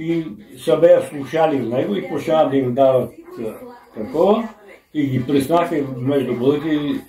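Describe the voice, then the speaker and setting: A man with a fairly high pitch talks at a moderate pace with ordinary pitch variation and long, frequent pauses. Audible room echo and noticeable background noise are present. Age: 80s+. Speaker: grandfather telling memories. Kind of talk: casual chat. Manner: halting.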